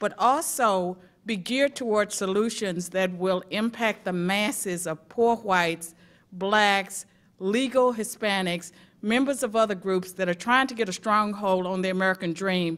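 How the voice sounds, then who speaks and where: A woman with a Southern US accent, medium pitch, ordinary pitch variation and a moderate pace, in a very clean recording with a silent background. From rural US South. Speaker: academic testifying at a civil rights commission. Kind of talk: prepared testimony at a public hearing. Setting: public hearing before a commission.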